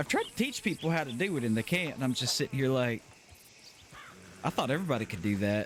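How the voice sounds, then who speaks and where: A man with a Southern US accent talks at a very fast pace and a medium pitch, his intonation lively. Long, frequent pauses break up his speech over noticeable background noise. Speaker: streamer. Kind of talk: casual chat.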